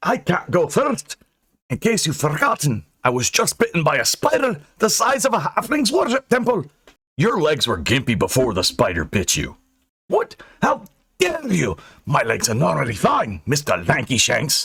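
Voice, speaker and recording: At a moderate pace, a man puts on a character voice pitched high. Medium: read story. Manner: gruff, stubborn.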